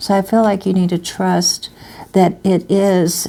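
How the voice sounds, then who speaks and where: This is a woman speaking at a medium pitch. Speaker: tarot reader. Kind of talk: tarot reading. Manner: halting.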